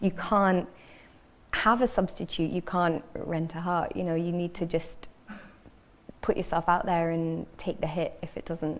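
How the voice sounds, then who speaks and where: A woman with a slight Scottish accent, fairly low pitch, a fairly slow pace, long and frequent pauses, and fairly even intonation. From northern England, Cheshire. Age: 30s. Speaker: fiction writer. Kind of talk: panel discussion. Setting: stage with audience.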